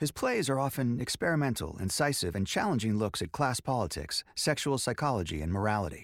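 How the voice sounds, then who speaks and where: A man's medium-pitched voice with very wide pitch swings, some vocal fry, and a fairly quick pace on a very clean recording with a silent background. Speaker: podcast host and actor. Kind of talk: interview conversation.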